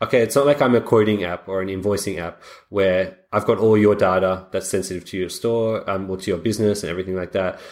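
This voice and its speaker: Very fast and with hardly any pauses, a man speaks with fairly low pitch and fairly even intonation. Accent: Australian. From Australia. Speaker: software founder. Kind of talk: interview. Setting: remote call.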